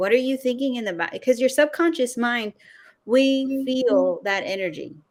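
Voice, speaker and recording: Lively intonation at a moderate pace from a woman with an ordinary speaking voice. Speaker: video content coach. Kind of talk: interview.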